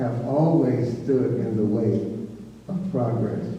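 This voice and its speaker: Noticeable background noise and audible room echo are present. A man at medium pitch talks very slowly with lively intonation. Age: 70s. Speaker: panelist. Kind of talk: panel discussion.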